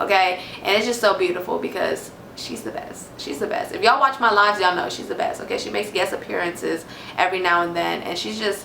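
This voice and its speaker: A woman of medium pitch with an American accent, amid noticeable background noise and audible room echo. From Houston, Texas. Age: 20s. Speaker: tarot reader, spiritual youtuber. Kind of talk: casual vlog Q&A. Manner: animated.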